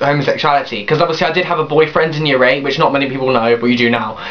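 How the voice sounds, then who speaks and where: The man's pitch varies in a typical way, with noticeable noise in the background. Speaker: vlogger. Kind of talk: personal vlog, testimony. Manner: fast; hyper.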